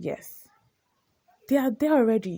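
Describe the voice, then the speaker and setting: A woman's dark, mellow tone in a Nigerian accent, at a moderate pace with ordinary pitch variation. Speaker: podcast host. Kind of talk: opinion monologue. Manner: animated.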